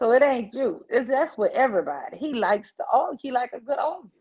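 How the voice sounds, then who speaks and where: A woman with a strong New Orleans accent talks at a very fast pace in a high pitch. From New Orleans, US South. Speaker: live stream host. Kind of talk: casual chat.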